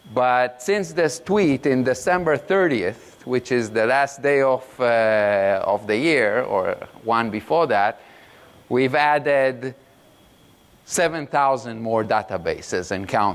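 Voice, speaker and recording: A man with a non-native accent speaks very slowly at medium pitch, his intonation lively and his loudness very even. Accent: foreign accent, self-described awkward. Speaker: product manager, conference speaker. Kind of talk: conference talk. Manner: halting, many fillers.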